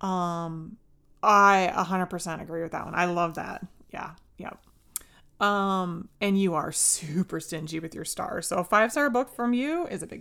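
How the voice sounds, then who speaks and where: A woman with an American accent and a medium-pitched voice of bright, sharp tone speaks at a moderate pace with ordinary pitch variation and big swings in loudness, on a very clean recording with a silent background. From US Midwest, northwest Indiana. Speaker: podcast host. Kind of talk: casual chat. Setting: recorded in a room together with guest.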